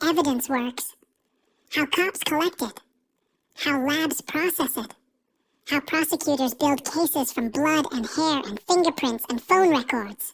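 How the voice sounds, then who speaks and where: Here a woman talks at a moderate pace. Her pitch is high, with ordinary variation. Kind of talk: dark POV crime narration. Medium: solo performance. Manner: terse, clipped sentences; measured and ominous.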